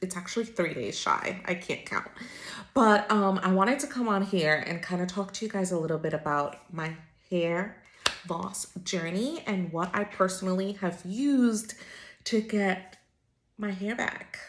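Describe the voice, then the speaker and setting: In an unremarkable speaking voice, a woman speaks fairly slowly, her pitch varying in an ordinary way. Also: medium pitch for a woman. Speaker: lifestyle vlogger. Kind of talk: casual vlog talk to camera. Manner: chatty, filler words.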